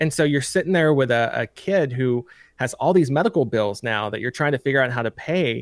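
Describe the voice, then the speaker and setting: A man with a Tennessee accent at medium pitch and a fairly quick pace. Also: lively intonation, dry, close sound with no echo. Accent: Southern US (Tennessee). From US South, Lincoln County, Tennessee. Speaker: state senate candidate. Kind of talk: interview.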